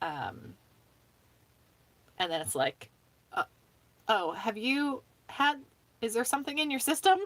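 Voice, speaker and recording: The words are mumbled at a fairly slow pace, broken by long, frequent pauses. Pitch swings very widely. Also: woman, high pitch for a woman. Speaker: livestreamer. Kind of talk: casual chat. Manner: mumbling.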